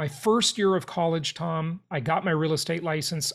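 A man with an American accent and a plain, everyday voice, fairly high in pitch, with fairly even intonation at a moderate pace. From US West Coast, Los Angeles. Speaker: real estate investor. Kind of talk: interview.

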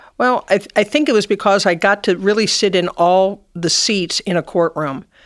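A woman with an American accent and a normal speaking voice talks at a moderate pace with ordinary pitch variation on a very clean recording with a silent background. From US Midwest, Cincinnati, Ohio. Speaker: retired judge. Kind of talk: interview.

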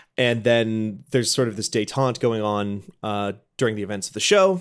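A man's plain, everyday voice at medium pitch, with ordinary pitch variation, a moderate pace, and a very clean recording with a silent background. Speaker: editor and podcaster. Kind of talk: casual chat.

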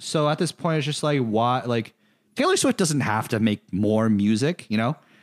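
A man speaks in a normal speaking voice with lively intonation at a fairly slow pace. The recording is very clean with a silent background and a dry, close sound with no echo. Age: 20s. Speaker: podcast host. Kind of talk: casual chat. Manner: laughs often, uses many filler words.

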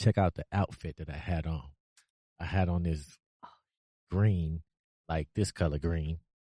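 In a dry, close recording with no echo and a quiet background, a man with an American accent talks at a fairly slow pace in a very deep, low pitch and a dark, mellow tone, his intonation fairly even and his pauses long and frequent. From Cleveland, Ohio. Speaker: podcast guest. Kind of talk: casual chat.

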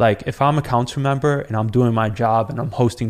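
A man speaks in an ordinary speaking voice at a moderate pace, medium in pitch with fairly even intonation. The recording is very clean, with a silent background. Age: 30s. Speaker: city council candidate. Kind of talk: casual interview.

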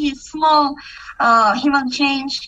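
The voice is raised and projected, with lively intonation. The pace is very slow. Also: woman. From Kazakhstan. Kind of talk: testimony. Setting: video call. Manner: halting.

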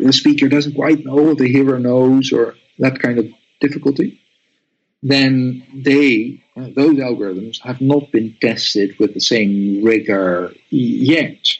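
A very slow pace and ordinary pitch variation, in a Dutch accent. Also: man, medium pitch for a man. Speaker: academic author, computational linguist. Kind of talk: academic interview. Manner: halting, with repetitions and fillers.

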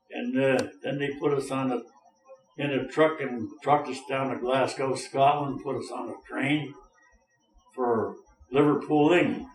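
A man with a fairly high pitch speaks at a fairly slow pace in a monotone, flat intonation, with long, frequent pauses and audible room echo. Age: 90s. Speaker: war veteran. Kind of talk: interview. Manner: halting.

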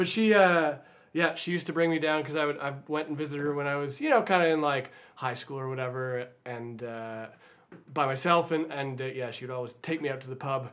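With a Canadian accent and an unremarkable speaking voice, a man talks at a fairly quick pace with ordinary pitch variation. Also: fairly high pitch for a man. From Slocan region, British Columbia, Canada. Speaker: bluegrass bass player. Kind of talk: casual interview chat.

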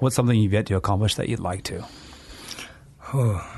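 A man's voice sounds somewhat breathy at a fairly low pitch. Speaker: podcast co-host.

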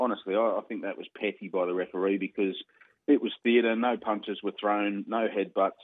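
Speaking at a fairly quick pace, a man with an Australian accent uses a fairly low pitch and fairly even intonation. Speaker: radio sports host. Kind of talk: casual radio banter.

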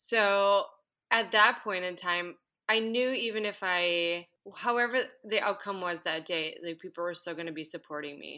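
Against a quiet background, a woman with an American accent speaks in a bright, sharp tone, her loudness swinging widely and her pitch varying in an ordinary way. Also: medium pitch for a woman, moderate pace. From Minnesota. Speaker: running coach. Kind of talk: casual interview.

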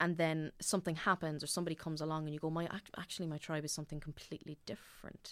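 In a very clean recording with a silent background, a woman with an Irish accent talks at a fairly quick pace, her very deep, low pitch held in fairly even intonation. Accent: Irish (Louth). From Ireland, Dundalk (County Louth). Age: 20s. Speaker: actor. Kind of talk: casual chat.

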